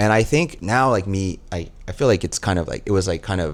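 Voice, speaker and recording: A man speaks with a Texas accent. His pitch is very deep and low. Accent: American, Texas. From Texas, Dallas area. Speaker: flight attendant. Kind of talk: casual chat.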